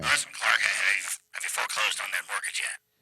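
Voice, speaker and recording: A man does a raspy, put-on character voice. He talks at a very fast pace. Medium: audio drama. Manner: excitable, stammering.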